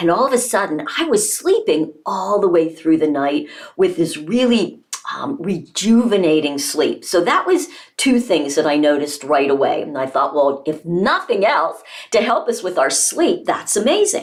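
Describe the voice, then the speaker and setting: A woman at medium pitch, animated in tone, with very wide pitch swings, a moderate pace and noticeable background noise. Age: 60s. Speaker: health coach and product distributor. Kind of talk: product testimonial.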